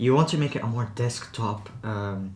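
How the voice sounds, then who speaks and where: Somewhat breathy, the man talks at a medium pitch. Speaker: tech reviewer. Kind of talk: product review talk to camera. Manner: casual, rambling.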